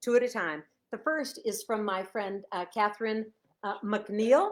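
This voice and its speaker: Delivered in a Chicago accent, the speech has an animated tone. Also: woman, fairly high pitch for a woman, ordinary pitch variation, fairly slow pace. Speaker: author. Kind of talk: casual live stream chat. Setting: Facebook live video at home.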